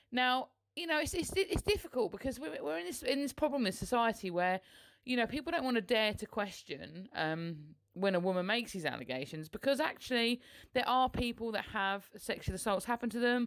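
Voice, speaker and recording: A woman with a British accent mumbles at a fairly quick pace. Her fairly high pitch moves in very wide swings. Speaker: political podcaster. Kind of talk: solo podcast commentary. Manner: mumbling.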